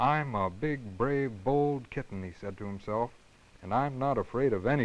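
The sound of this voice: What you hear is an unforced reading voice.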